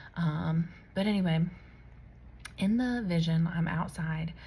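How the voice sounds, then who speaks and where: A soft-spoken, somewhat breathy woman with a fairly low pitch, a dark, mellow tone and audible room echo. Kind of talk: personal testimony vlog. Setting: at home late at night. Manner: casual with many fillers.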